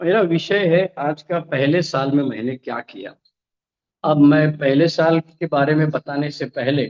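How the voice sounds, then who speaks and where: A man's fairly high voice with ordinary pitch variation, an ordinary speaking voice, and a dry, close sound with no echo. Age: 60s. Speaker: recovering alcoholic speaker, retired law professor. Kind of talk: recovery testimony. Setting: online meeting from home, alone.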